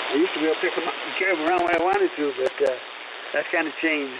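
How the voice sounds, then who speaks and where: Noticeable background noise sits behind this recording. A man with a high pitch talks at a very fast pace. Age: 80s+. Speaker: amateur radio operator. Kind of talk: radio net check-in. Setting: amateur radio transmission. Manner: halting.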